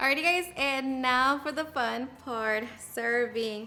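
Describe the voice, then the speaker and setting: Music plays behind a woman with a Mexican accent. She speaks at a high pitch in an upbeat tone. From Mexico. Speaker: home cook, cooking channel host. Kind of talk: cooking tutorial voice-over. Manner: upbeat, friendly.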